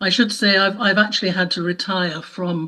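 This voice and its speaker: A woman speaks at a moderate pace with a British accent, her fairly low pitch carrying a bright, sharp tone and ordinary pitch variation. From UK. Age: 70s. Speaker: audio describer and trainer. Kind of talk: panel talk.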